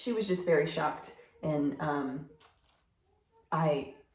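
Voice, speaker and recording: Audible room echo surrounds a woman's voice. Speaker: plant hobbyist vlogger. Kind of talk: casual talk-to-camera tutorial. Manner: hesitant with fillers.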